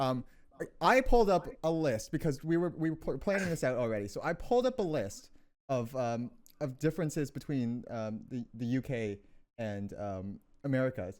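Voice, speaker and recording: Here is an ordinary speaking voice from a man with lively intonation at a moderate pace. The recording is very clean, with a silent background. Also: medium pitch for a man. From Canada. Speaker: podcast co-host. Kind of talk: casual chat.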